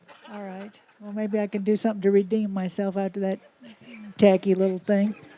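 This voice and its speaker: Over noticeable background noise, a woman speaks at a medium pitch in a monotone, flat intonation. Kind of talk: casual talk to live audience.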